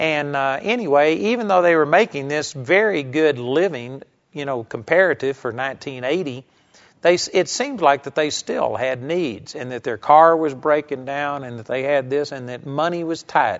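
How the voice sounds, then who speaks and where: This man has a plain, everyday voice, pitched fairly high, with ordinary pitch variation at a moderate pace. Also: big swings in loudness. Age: 50s. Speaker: bible teacher. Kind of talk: sermon.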